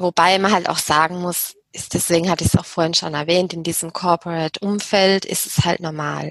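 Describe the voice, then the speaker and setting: A woman with a plain, everyday voice, fairly low in pitch, with fairly even intonation, in a dry, close sound with no echo. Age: 30s. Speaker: business psychologist and HR consultant. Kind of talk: interview.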